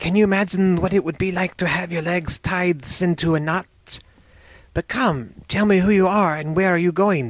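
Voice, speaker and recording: In a put-on character voice, the speaker is soft-spoken, with a middle pitch and a moderate pace. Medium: read story.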